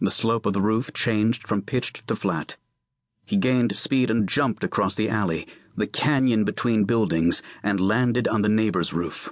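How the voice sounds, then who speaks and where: A man with an unremarkable speaking voice, fairly low pitch, ordinary pitch variation, very even loudness and a moderate pace, in a dry, close sound with no echo against a quiet background. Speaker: audiobook narrator. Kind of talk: unabridged audiobook narration of a tense legal thriller chase scene. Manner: suspenseful, urgent storytelling pacing through action.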